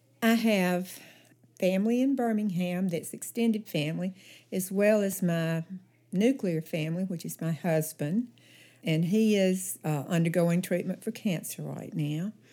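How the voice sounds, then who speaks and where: A woman with a Southern US accent, dark and mellow in tone at a medium pitch, at a fairly slow pace with ordinary pitch variation, in a very clean recording with a silent background. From Alabama. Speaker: church member and Sunday school teacher. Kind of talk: casual interview. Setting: podcast recording.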